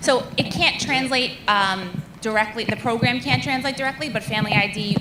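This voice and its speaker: Noticeable background noise sits behind a woman's voice. She moves at a fairly quick pace with ordinary pitch variation. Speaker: school athletics administrator. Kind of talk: presentation at school board meeting. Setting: school board meeting. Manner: fast.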